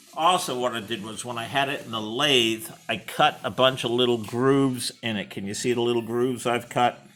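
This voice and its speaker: A man with an unremarkable speaking voice, medium pitch and ordinary pitch variation, at a moderate pace with hardly any pauses. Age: 60s. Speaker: hobbyist machinist. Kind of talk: workshop tutorial. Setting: workshop. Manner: casual.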